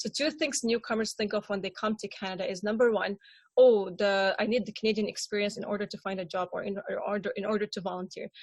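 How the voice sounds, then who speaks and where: A woman's somewhat breathy, medium-pitched voice at a very fast pace, with fairly even intonation. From Syria. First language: Arabic. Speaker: refugee panelist. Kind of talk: panel discussion. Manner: halting, many repetitions and fillers.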